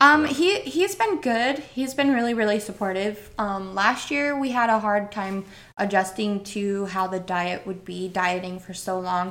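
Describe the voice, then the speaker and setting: A woman with an American accent speaks in an ordinary speaking voice, her medium pitch moving with ordinary variation. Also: moderate pace. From Northern Idaho. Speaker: bodybuilder and entrepreneur. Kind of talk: casual interview chat.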